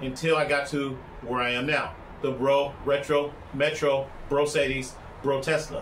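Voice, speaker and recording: Audible room echo and noticeable background noise surround a man speaking in an animated tone at a fairly high pitch. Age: 60s. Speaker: vlogger and broadcast engineer. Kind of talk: casual vlog monologue. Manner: loud.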